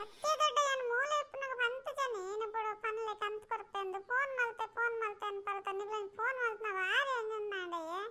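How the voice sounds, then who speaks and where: A woman does a cartoonish character voice at an extremely high pitch, speaking at a fairly slow pace over clear background noise. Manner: exasperated, argumentative.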